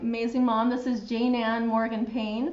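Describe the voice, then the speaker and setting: A woman with a high voice speaks at a moderate pace. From Utah. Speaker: physical therapist and show host. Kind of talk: live show interview.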